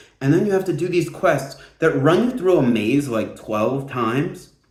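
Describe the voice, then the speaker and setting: With animated tone and lively intonation, a man speaks at a fairly quick pace amid audible room echo. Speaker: gaming video creator. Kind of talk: casual commentary video.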